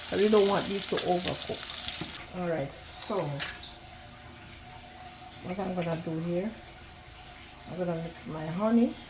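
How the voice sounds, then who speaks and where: A woman's warm tone at a fairly slow pace, with long, frequent pauses, ordinary pitch variation and noticeable background noise. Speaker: home cook. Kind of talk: cooking video talk to camera. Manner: casual, warm.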